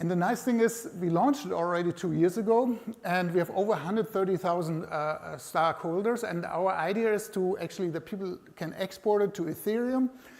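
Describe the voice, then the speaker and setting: A man with a high pitch talks at a fairly quick pace with hardly any pauses and ordinary pitch variation, noticeable background noise behind him. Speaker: conference speaker, company executive. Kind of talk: conference presentation. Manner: fast.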